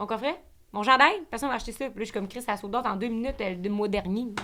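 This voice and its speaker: In a very clean recording with a silent background, the speaker talks at a very fast pace with a Quebec accent. The tone is bright and sharp, with ordinary pitch variation. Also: woman. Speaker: podcaster. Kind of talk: casual interview chat.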